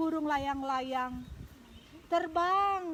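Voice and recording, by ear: This woman talks at a slow pace in a high, fairly bright voice with lively intonation.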